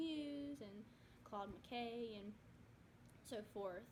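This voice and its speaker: A woman talks at a fairly slow pace with a medium pitch. Audible room echo surrounds her voice. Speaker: student. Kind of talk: class presentation. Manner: soft-spoken.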